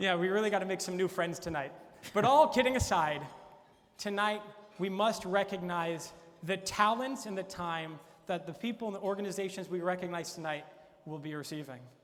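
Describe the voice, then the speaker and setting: Over noticeable background noise, a man speaks at a fairly quick pace in a high pitch with ordinary pitch variation. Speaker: event host. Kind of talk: comedic late-night talk show monologue.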